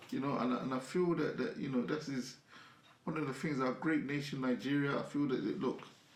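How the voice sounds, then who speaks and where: A man talks at a fairly quick pace, with audible echo from the room. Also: ordinary pitch variation. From London, UK. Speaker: afrobeats music industry figure. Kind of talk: casual interview chat. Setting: studio.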